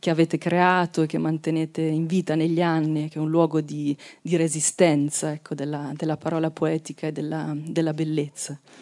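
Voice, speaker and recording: A woman with a very deep, low pitch and a dark, mellow tone, monotone with flat intonation, at a moderate pace over a quiet background. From Marche, Italy. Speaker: poet. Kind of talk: book presentation talk. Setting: outdoor festival with audience.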